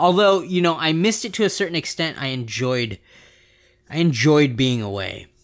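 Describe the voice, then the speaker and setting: A man with a West Coast American accent talks at a moderate pace with a fairly high voice. His pitch swings very widely on a very clean recording with a silent background. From US West Coast. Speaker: podcast co-host. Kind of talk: casual chat.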